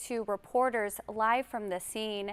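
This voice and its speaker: A woman with an American accent speaks in an ordinary speaking voice at a fairly high pitch with ordinary pitch variation, the sound dry and close with no echo. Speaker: TV news anchor. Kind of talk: breaking news anchor report.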